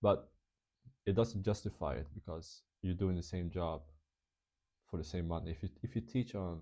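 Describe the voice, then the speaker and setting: With a non-native accent, a man speaks at a very deep, low pitch in a somewhat breathy, dark, mellow tone. His pace is moderate, with long, frequent pauses and ordinary pitch variation. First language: not English. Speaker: English teacher and vlogger. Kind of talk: casual vlog talk. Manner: halting, many fillers and restarts.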